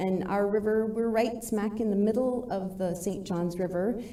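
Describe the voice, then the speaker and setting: A woman speaks at a moderate pace with a medium pitch and fairly even intonation. The room echo is audible, and background noise is noticeable. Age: 50s. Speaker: environmental advocate. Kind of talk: public comment at council meeting.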